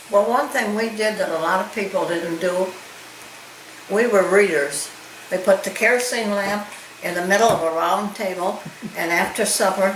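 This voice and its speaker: Someone with an American accent speaks at a moderate pace, with ordinary pitch variation and long, frequent pauses. Noticeable background noise and audible room echo fill the recording. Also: woman, medium pitch for a woman. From Michigan. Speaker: longtime local resident. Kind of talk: oral history interview.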